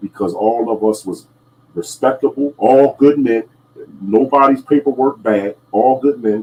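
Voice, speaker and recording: Speaking fairly slowly, a man lets his pitch vary in an ordinary way. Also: medium pitch for a man. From New Jersey. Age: 50s. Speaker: podcast host. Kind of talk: casual chat. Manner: halting, many fillers and repeats.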